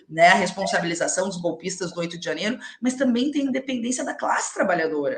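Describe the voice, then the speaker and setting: Through noticeable background noise, a woman talks at a fairly quick pace with very wide pitch swings. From Rio Grande do Sul, Alegrete (southern Brazil). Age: young. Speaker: politician. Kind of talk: live interview.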